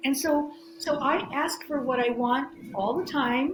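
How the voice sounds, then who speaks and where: Background noise is noticeable and room echo audible as a woman speaks at a high pitch. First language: Greek. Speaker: spirituality guest, former therapist. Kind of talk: interview. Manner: halting, many restarts and fillers.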